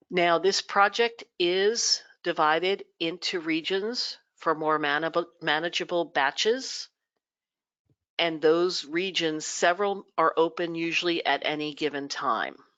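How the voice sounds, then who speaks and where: The pace here is fairly slow. It is a normal speaking voice, and its pitch varies in an ordinary way. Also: woman, fairly low pitch for a woman. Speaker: genealogy society presenter. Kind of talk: webinar presentation. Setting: live webinar broadcast.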